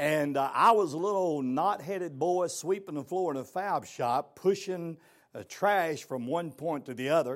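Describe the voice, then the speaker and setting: A man with a fairly high pitch at a moderate pace. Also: ordinary pitch variation. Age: 60s. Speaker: motivational speaker. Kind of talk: motivational talk. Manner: animated.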